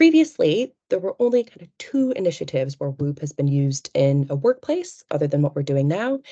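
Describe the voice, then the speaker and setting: Recorded with a dry, close sound and no echo, a woman speaks at a moderate pace. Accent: American. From United States. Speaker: researcher. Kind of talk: webinar presentation. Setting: online webinar.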